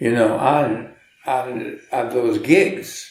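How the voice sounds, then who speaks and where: A man with a medium-pitched voice and ordinary pitch variation, at a very slow pace, with audible room echo. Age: 80s+. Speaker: jazz musician and teacher. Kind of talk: interview. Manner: halting, with many repetitions.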